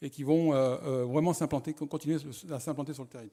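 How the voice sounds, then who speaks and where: On a very clean recording with a silent background, a man with a fairly high pitch speaks at a very fast pace, his tone dark and mellow and his intonation fairly even. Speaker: economic development presenter. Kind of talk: conference presentation. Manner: halting.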